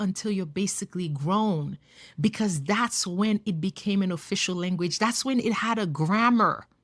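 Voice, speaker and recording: A woman with a Haitian accent speaks at a fairly slow pace in a somewhat breathy voice with lively intonation, in a very clean recording with a silent background. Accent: Haitian Creole-accented English. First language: Haitian Creole. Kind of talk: casual talk to camera.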